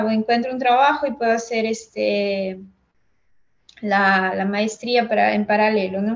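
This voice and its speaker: A woman's fairly high-pitched, monotone, flat voice at a fairly slow pace. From Peru, Huancayo. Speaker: geotechnical engineer. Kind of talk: interview.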